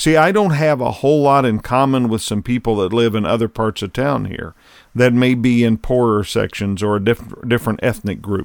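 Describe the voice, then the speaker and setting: A man speaks at medium pitch in a normal speaking voice with ordinary pitch variation. His moderate pace comes through in a very clean recording with a silent background. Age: 60s. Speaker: podcast host and leadership consultant. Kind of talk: solo commentary monologue. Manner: conversational.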